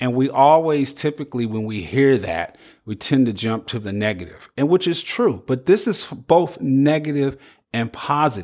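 A man with an ordinary speaking voice talks at a moderate pace and medium pitch, with lively intonation. The recording is very clean, with a silent background. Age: 50s. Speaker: podcast host. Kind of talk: solo podcast monologue.

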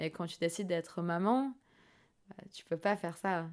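Recorded very cleanly against a silent background, the voice has a dark, mellow tone and ordinary pitch variation. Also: woman. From Brazil. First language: Portuguese (speaking French). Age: 20s. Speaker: professional sailor. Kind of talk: interview. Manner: halting.

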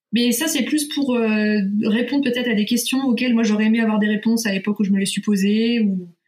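A normal speaking voice from a woman, fairly high in pitch and fairly quick, with ordinary pitch variation and very even loudness. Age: 30s. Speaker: nurse and parenting blogger. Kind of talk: casual interview.

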